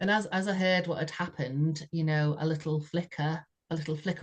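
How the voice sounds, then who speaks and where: Somewhat breathy, this voice speaks very fast in a British accent. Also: woman. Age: 60s. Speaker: podcast co-host sharing personal story. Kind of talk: heartfelt conversational testimony. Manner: halting, with frequent repetitions and fillers.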